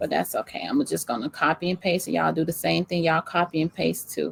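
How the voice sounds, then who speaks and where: A woman speaks with a Southern US accent. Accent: country, says y'all. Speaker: small business coach. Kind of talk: live screen-share tutorial. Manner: casual, many fillers.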